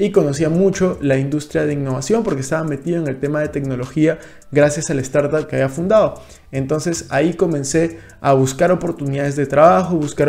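Fairly quick and fairly even in intonation, a man talks at fairly high pitch. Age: 20s. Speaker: finance youtuber. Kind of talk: vlog monologue. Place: home room. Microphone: studio mic.

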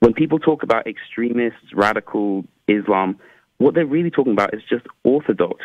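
A man with an English accent and lively intonation, at a fairly quick pace, in a dry sound with no echo against a quiet background. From England. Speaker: caller. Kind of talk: call-in debate. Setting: phone call. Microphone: phone line.

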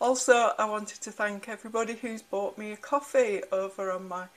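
The woman talks at a moderate pace. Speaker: frugal living vlogger. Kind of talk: casual vlog chat. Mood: warm, cheerful, grateful. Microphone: phone near.

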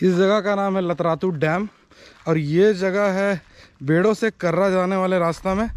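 At a fairly slow pace, a man speaks at a high pitch, and the sound is dry with no echo. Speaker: travel vlogger. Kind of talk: casual vlog chat. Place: waterside. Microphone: phone near.

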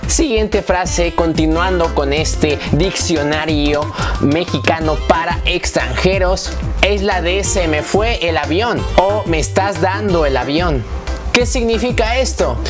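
Clear music plays in the background. Over it, a man speaks at a very slow pace. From Mexico. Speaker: YouTube vlogger. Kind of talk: casual talk to camera. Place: home room. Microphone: lapel.

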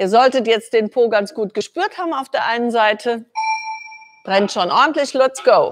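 Music plays in the background as a woman talks at a moderate pace. Her pitch is high, with ordinary pitch variation. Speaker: fitness trainer. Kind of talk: workout instruction. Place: gym.

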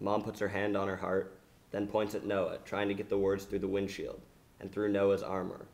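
Just an unforced reading voice

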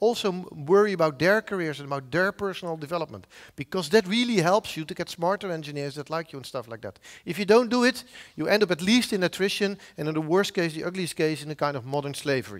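A man with a Dutch accent talks at a very fast pace. His voice is high, his intonation lively, and the background quiet. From Netherlands, Zeeland; Netherlands. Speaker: professor of software engineering; conference speaker. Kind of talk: conference talk. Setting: stage with audience. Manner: halting. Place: hall. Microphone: headset.

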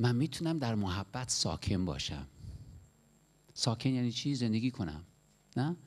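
The tone is animated, with very wide pitch swings. Long pauses come often. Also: man, moderate pace. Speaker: preacher. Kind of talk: sermon. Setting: church. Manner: animated, exhorting, urging the congregation to laugh and rejoice; direct, conversational, asks rhetorical questions. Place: church. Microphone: handheld.

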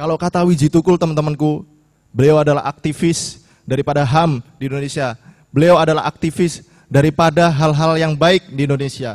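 A man speaks at a fairly quick pace with fairly even intonation. The background is quiet. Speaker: student leader; speaker. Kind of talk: speech. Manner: impassioned. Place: hall. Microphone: podium.

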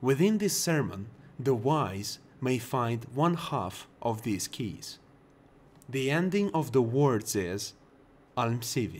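Someone with a Russian accent speaks at a very slow pace, with long, frequent pauses. The pitch swings very widely. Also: man, medium pitch for a man. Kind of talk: bedtime lore book reading.

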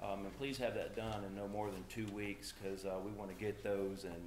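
With music in the background and audible room echo, a man with a fairly low pitch speaks at a moderate pace. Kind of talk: church announcements. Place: church. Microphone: camera far.

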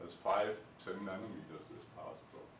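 A man's voice carries audible room echo. There is light background noise. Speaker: lecturer. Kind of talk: lecture. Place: classroom. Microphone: camera far.

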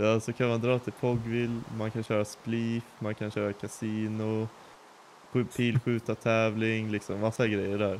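A man's medium-pitched, monotone voice with flat intonation at a fairly slow pace. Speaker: fellow Minecraft player. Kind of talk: casual chat. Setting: voice chat while gaming.

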